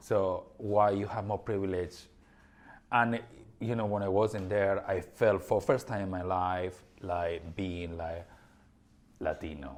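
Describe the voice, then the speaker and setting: A man's fairly low voice with a European accent, at a fairly slow pace with long, frequent pauses. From Spain. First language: Spanish. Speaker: podcast co-host. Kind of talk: casual chat. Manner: animated.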